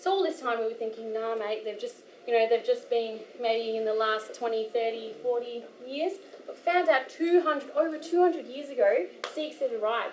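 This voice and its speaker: With audible room echo, a woman in an Australian accent speaks at a moderate pace with a high pitch. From Australia, Perth. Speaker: poet and workshop speaker. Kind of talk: workshop talk. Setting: gurdwara hall with audience. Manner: casual, hesitant with fillers.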